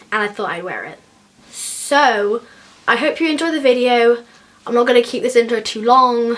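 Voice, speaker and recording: High-pitched woman's voice with an English accent, at a moderate pace, over noticeable background noise. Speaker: beauty vlogger. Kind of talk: makeup tutorial. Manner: casual, chatty.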